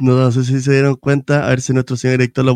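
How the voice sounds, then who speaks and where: Heard in a dry, close recording with no echo, a man talks at a medium pitch. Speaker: podcast host, musician. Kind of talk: casual chat. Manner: animated.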